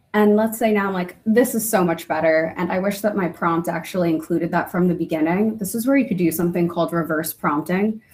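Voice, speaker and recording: In an American accent, a somewhat breathy woman with a fairly low pitch and ordinary pitch variation speaks at a very fast pace with hardly any pauses. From New Jersey. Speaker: internal communications professional. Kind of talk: webinar demo.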